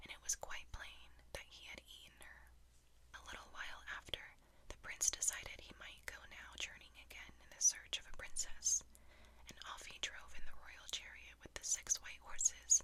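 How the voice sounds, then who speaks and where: Someone whispers in a calm tone at a moderate pace. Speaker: storyteller. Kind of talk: ASMR bedtime fairytale reading. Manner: calm, soft-spoken.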